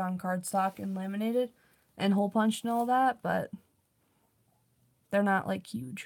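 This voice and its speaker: In a very clean recording with a silent background, a woman speaks fairly quickly in a somewhat breathy, medium-pitched voice with ordinary pitch variation. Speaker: streamer and artist. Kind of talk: casual chat.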